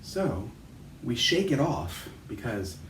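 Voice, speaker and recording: The tone is calm. Audible room echo is present. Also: man. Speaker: chiropractor guiding movement exercises. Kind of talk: guided movement instruction. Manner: calm, slow-paced.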